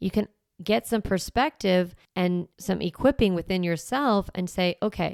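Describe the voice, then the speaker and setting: On a very clean, dry, close recording with no echo and a silent background, a woman with a plain, everyday voice and medium pitch speaks at a moderate pace. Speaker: parenting podcast host. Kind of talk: podcast monologue.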